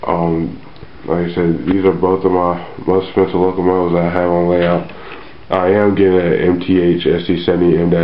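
A monotone, flat delivery at a moderate pace, with noticeable background noise. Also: man. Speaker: model railroad hobbyist. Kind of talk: casual talk to camera.

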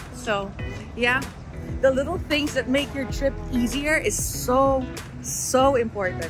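A woman's voice, dry with no echo, with clear music in the background. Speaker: travel vlogger. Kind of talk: casual vlog chat. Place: station. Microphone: phone near.

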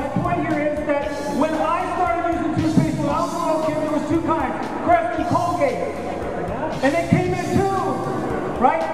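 A man talks at a moderate pace with clear music behind him. The room adds an audible echo. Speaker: conference speaker. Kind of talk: keynote talk. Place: hall.

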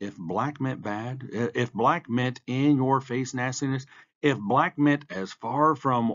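The pitch in this unforced reading voice varies in an ordinary way.

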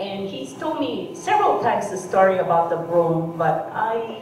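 A woman talks at a moderate pace with lively intonation. Audible room echo and light background noise surround her voice. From Hawaii. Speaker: artist and camp survivor speaker. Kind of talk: public talk with slides. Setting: stage with audience. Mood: warm, reflective.

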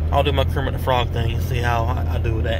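A man speaks at a very fast pace. The sound is dry with no echo, and there is noticeable background noise. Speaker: vlogger. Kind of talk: casual vlog chat. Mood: mock threatening, joking. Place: car. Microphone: phone near.

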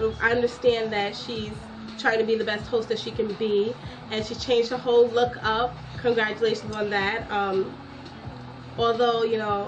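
The voice is monotone and flat at a moderate pace. Clear music plays in the background. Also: woman. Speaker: vlogger. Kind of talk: casual vlog chat. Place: home room. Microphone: webcam.

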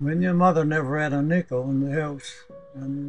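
There is faint music in the background as a man with a Newfoundland accent talks at a fairly quick pace. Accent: Newfoundland and Labrador. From Labrador, Canada. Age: 80s+. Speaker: boat builder. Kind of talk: interview answer. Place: garden.

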